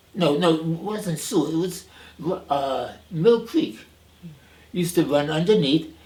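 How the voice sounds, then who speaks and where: Over noticeable background noise, a man talks in a high voice with an American accent. His pitch varies in an ordinary way. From New York City, the Bronx. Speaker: retired minister and seminary professor. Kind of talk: oral history interview. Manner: halting, many fillers and restarts.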